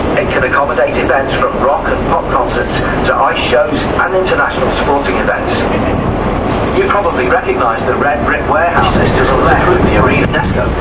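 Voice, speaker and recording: Loud background noise surrounds a man talking at a fairly quick pace. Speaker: ferry tour commentator. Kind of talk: guided tour commentary. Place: boat.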